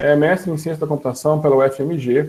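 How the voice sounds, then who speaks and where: This man talks at a fairly quick pace with a dark, mellow tone, fairly high pitch and fairly even intonation. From southern Minas Gerais, Brazil. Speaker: panel moderator, university professor. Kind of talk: panel discussion moderation.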